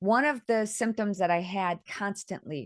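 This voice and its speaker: Speaking at a moderate pace with lively intonation, a woman with a plain, everyday voice is heard against a quiet background, the sound dry and close with no echo. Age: 60s. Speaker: author. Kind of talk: interview.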